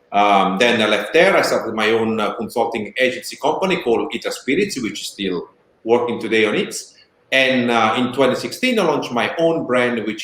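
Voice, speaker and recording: With a strong Italian accent, a man talks at a fairly quick pace and medium pitch, his intonation lively. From Italy. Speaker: spirits brand founder and bartending consultant. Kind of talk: casual interview.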